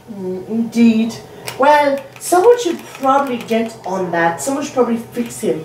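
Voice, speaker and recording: Lively intonation from a woman with a fairly high pitch at a moderate pace, over noticeable background noise. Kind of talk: comic sports commentary parody, scripted-sounding bit with a character voice.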